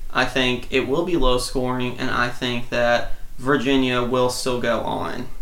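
A man with an American accent, medium pitch, flat monotone intonation and a fairly slow pace, with audible room echo. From Central Louisiana, then East Texas. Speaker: guest sports pundit. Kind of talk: casual sports chat.

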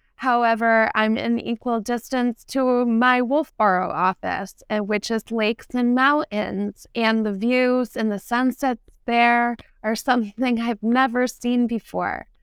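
A woman with an American accent speaks in a fairly high pitch, a normal speaking voice, with a dry, close sound and no echo. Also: fairly slow pace. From New Hampshire seacoast, US. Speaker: real estate agent. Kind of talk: interview.

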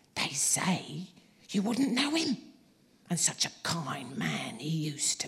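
A put-on character voice at a middle pitch moves at a fairly slow pace with long, frequent pauses. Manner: loud whisper, gossipy.

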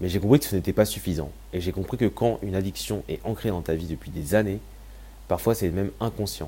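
A man with a very deep, low voice, a dark, mellow tone and vocal fry speaks at a fairly quick pace with lively intonation. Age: 20s. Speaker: podcast host sharing personal story. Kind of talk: personal testimony monologue.

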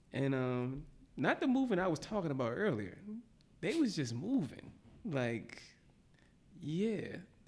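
A man with an American accent speaks at a fairly slow pace, with long, frequent pauses and audible room echo. His fairly high pitch makes very wide swings. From Philadelphia, West Philly. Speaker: podcast guest. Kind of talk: casual chat.

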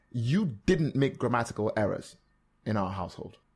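On a very clean recording with a silent background, a man with an American accent talks at a medium pitch, sounding somewhat breathy. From Nigeria. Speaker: podcaster and former radio presenter. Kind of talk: casual interview.

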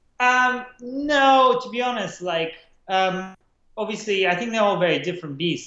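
A man speaks at a fairly slow pace. Audible echo fills the room. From Czech Republic (Prague), born in Russia. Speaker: film and commercial director. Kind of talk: interview. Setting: call. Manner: halting.

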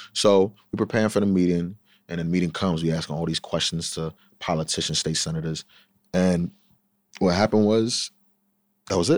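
Fairly quick speech in a Long Island accent, with fairly even intonation and long, frequent pauses. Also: man, very deep, low pitch for a man, dry, close sound with no echo, very clean recording, silent background. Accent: Long Island New York. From Long Island, New York. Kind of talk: casual chat.

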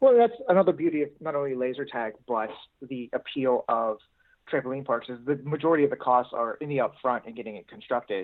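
An unremarkable speaking voice with an American accent, lively intonation and a fairly quick pace. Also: man, fairly high pitch for a man. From Pittsburgh, Pennsylvania. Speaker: doctoral student. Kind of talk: research interview.

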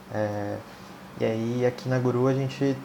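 There is noticeable background noise as a man with medium pitch talks at a fairly slow pace. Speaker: Android developer. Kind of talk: casual tech podcast chat.

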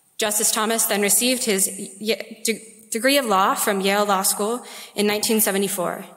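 A woman speaks at a fairly slow pace with medium pitch and monotone, flat intonation. There is audible room echo. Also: very even loudness. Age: 20s. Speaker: student. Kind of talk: speaker introduction. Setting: lecture hall podium.

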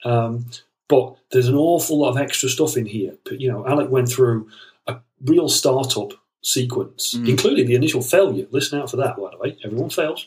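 Somewhat breathy, a man speaks fairly quickly at a medium pitch with ordinary pitch variation. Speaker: podcast co-host. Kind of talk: casual podcast chat.

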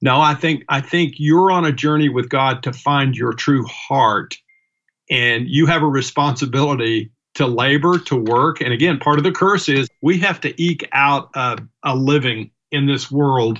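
Fairly high-pitched male voice at a fairly slow pace, with ordinary pitch variation and a quiet background. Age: 60s. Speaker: business owner. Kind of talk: casual chat. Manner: halting.

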